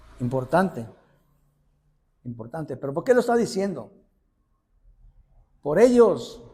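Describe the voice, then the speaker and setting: A man with a dark, mellow tone and fairly high pitch speaks at a fairly slow pace. His pitch swings very widely, and he takes long, frequent pauses. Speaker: lay preacher. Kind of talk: sermon. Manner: animated; halting.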